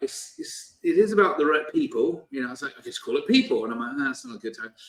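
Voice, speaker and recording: This is a man speaking with a British accent. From Britain. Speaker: company CEO and author. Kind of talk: interview. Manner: hesitant with many fillers.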